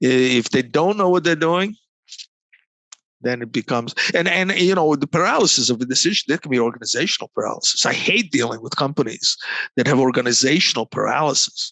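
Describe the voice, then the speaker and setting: A man with a Croatian accent speaks at a fairly quick pace. His pitch is fairly high and his intonation lively. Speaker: negotiation consultant. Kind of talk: interview. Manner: halting, many repeated words.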